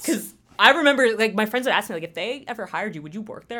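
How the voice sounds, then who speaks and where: A woman talks at a very fast pace with a New Jersey accent. Her tone is bright and sharp. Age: 20s. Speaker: new staff member at community TV station. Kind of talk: casual interview. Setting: studio. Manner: loud.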